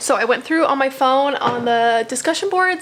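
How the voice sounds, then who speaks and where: The pitch varies in an ordinary way. Noticeable background noise is present. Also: woman. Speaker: math instructor. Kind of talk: casual course overview video. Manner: fast; chatty, informal.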